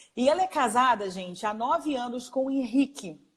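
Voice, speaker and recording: The woman's voice is high-pitched, and she keeps to a moderate pace. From Rio de Janeiro, Brazil. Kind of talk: live interview introduction.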